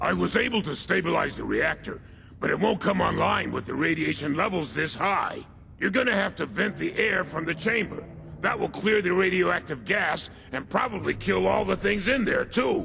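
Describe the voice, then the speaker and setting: Against clear background noise, a man performs a put-on character voice at a moderate pace. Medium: video game. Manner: nervous, chatty.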